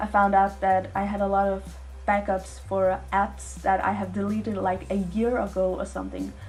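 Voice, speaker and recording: Audible room echo carries the voice of a woman who speaks with a non-native accent. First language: not English. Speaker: art youtuber. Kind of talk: voiceover narration.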